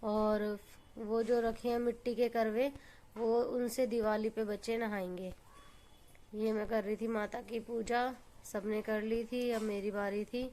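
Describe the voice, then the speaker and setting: Her voice is fairly high in pitch with a dark, mellow tone, and this woman keeps her intonation monotone and flat. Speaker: family vlogger. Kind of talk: vlog narration. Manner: casual, conversational.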